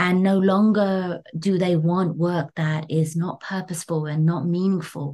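A woman with a London accent speaks at a fairly low pitch in a dark, mellow tone, monotone and flat, with hardly any pauses. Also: fairly slow pace. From London, England. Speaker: creative studio director. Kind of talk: interview.

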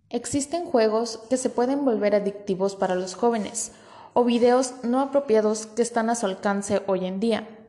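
A woman's fairly high voice at a moderate pace with ordinary pitch variation, an ordinary speaking voice. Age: 20s. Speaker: student podcast host. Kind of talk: scripted podcast presentation. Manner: formal.

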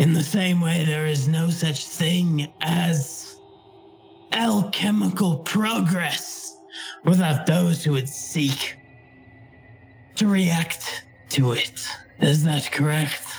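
Faint music plays in the background. A put-on character voice at a middle pitch moves at a very slow pace. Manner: loud, lecturing, sinister.

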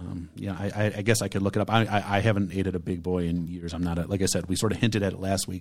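Speaking at a very fast pace with hardly any pauses, a man with an American accent uses a very deep, low pitch and a monotone, flat intonation on a very clean recording with a silent background. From Michigan, Detroit downriver area. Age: 40s. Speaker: podcast host. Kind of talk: casual chat; giveaway announcement.

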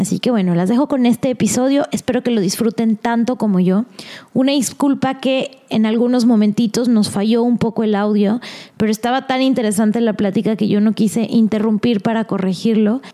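A woman's fairly high, dark, mellow voice at a fairly quick pace, with fairly even intonation and very even loudness. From Mexico. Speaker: podcast host.

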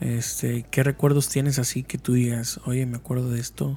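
This man's voice has a dark, mellow tone. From Mexico. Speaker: podcast host. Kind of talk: casual chat.

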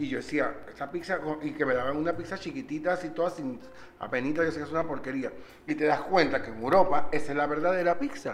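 Amid noticeable background noise and audible room echo, a man talks very fast at a fairly high pitch with ordinary pitch variation. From not Venezuela. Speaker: podcast host and chef. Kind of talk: casual chat.

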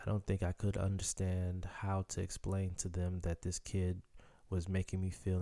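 Very deep and low, a man's voice carries a dark, mellow tone at a moderate pace. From Chicago, US. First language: Haitian Creole. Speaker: podcaster telling life story. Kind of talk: personal storytelling monologue.

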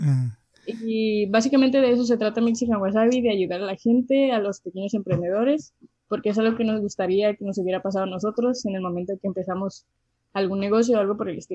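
At a very fast pace, a woman talks in a medium pitch with a dark, mellow tone and ordinary pitch variation. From Mexicali, Baja California, Mexico. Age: 20s. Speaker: cook and food social media creator. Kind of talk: casual interview chat.

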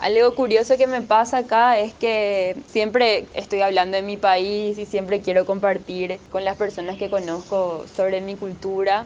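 With a plain, everyday voice, a woman speaks at a medium pitch and a fairly slow pace, hardly pausing. Her intonation stays fairly even. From Paraguay, Asunción. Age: 20s. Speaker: content writer. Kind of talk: personal testimony.

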